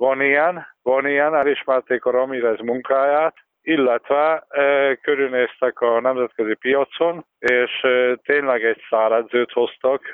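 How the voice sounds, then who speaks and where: At a fairly slow pace, a man speaks at a medium pitch with fairly even intonation, very even loudness and hardly any pauses. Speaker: basketball expert. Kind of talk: interview. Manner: halting.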